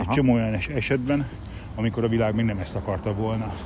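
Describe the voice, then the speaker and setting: Amid audible room echo, a man speaks at a very fast pace with ordinary pitch variation. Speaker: martial arts instructor. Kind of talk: casual chat.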